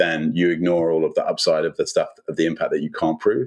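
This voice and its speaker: Speaking with a British accent, a man moves at a fairly quick pace. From UK. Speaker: chief marketing officer. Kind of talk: interview. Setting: remote recording.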